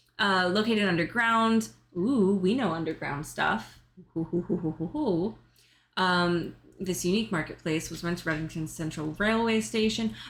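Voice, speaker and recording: In an ordinary speaking voice, a woman with a fairly low pitch talks at a moderate pace with lively intonation, in a very clean recording with a silent background. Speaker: video game streamer. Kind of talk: casual chat.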